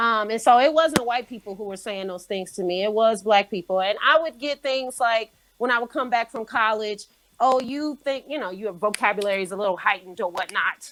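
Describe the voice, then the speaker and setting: In a very clean recording with a silent background, a woman with an ordinary speaking voice and an American accent talks at a fairly quick pace, her pitch fairly high with ordinary variation. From Detroit, Michigan, US. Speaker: educator. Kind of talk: panel discussion.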